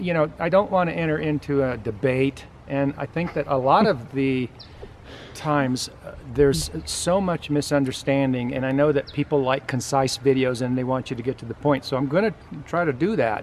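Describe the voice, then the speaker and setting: Light background noise behind a man at a moderate pace with ordinary pitch variation. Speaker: channel host. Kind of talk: casual vlog chat. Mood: earnest, a bit defensive. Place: garden. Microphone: phone near.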